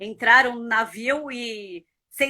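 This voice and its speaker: In a São Paulo accent, a woman speaks in an animated tone at a high pitch with ordinary pitch variation. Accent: São Paulo Brazilian Portuguese. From Brazil, São Paulo (born in Buenos Aires). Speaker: marketing professional and mentor. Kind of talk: interview.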